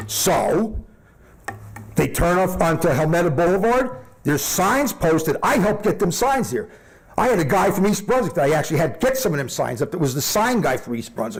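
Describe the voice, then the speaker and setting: Over noticeable background noise and audible room echo, a high-pitched man with a New Jersey accent talks at a fairly quick pace in an animated tone with very wide pitch swings. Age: 60s. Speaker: resident speaking at public comment. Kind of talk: public comment at council meeting.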